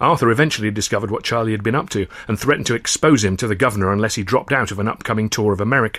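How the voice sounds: A natural reading voice carries through this recording.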